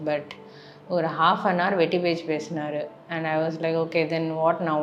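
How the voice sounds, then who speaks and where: Her voice is very deep and low for a woman, with monotone, flat intonation at a moderate pace. Noticeable background noise and audible room echo fill the recording. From Chennai, South India. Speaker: vlogger. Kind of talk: personal testimony.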